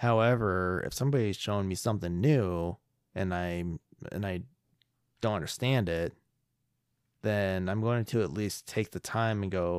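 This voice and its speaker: Over a silent background in a very clean recording, a man talks at a moderate pace in a very deep, low voice with ordinary pitch variation. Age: 30s. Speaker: podcast co-host. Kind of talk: casual chat.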